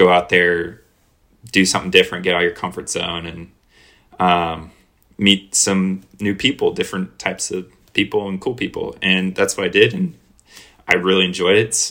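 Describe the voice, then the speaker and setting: Bright and sharp in tone, this voice with an American accent moves at a moderate pace in a monotone, flat intonation, broken by long, frequent pauses. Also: man, very deep, low pitch for a man. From Florida, Jacksonville Beach area. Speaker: collegiate triathlete. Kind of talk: casual chat.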